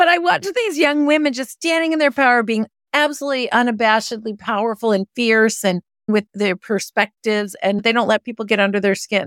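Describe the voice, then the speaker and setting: With a plain, everyday voice, a woman with an American accent speaks at a fairly quick pace and fairly high pitch with lively intonation, on a very clean recording with a silent background and a dry, close sound with no echo. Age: 50s. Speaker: venture investor. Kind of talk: interview.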